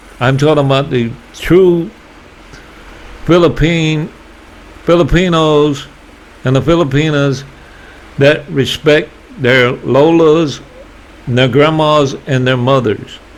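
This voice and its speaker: With a Southern US accent, a man speaks at a very slow pace with long, frequent pauses, a fairly high pitch, fairly even intonation and very even loudness over noticeable background noise. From US South. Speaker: YouTuber. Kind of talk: casual vlog monologue.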